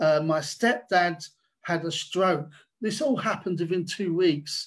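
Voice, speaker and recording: A man speaks at a fairly slow pace in a high pitch, against a quiet background. His pitch varies in an ordinary way. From England, working class. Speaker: artist. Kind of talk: online panel talk. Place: home room. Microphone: video call.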